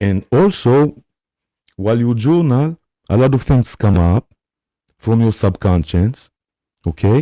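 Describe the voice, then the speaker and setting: A man's dark, mellow voice at medium pitch, fairly slow with long, frequent pauses, very even in loudness, dry and close with no echo, in a very clean recording with a silent background. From Israel. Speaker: spiritual teacher. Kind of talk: live stream talk. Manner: hesitant, many fillers.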